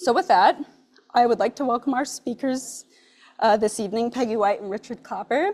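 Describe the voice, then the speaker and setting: A woman's high-pitched voice with lively intonation and a fairly quick pace. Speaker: nonprofit programs director. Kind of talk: event introduction. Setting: brewery event with live audience, hybrid. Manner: loud.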